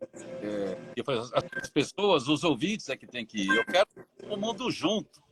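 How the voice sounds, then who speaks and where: A man talks at a high pitch, his loudness rising and falling sharply and his pitch swinging very widely. Music plays behind him, and the sound is dry and close with no echo. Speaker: radio announcer. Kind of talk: interview answer.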